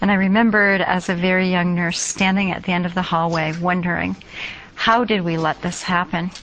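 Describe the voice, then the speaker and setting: A woman speaks fairly quickly with an American accent, her medium-pitched voice monotone and flat. Noticeable background noise sits behind her. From United States. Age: 50s. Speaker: nursing professor. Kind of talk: interview.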